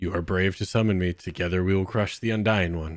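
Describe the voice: A man's booming put-on character voice, very deep and low in pitch, at a fairly quick pace.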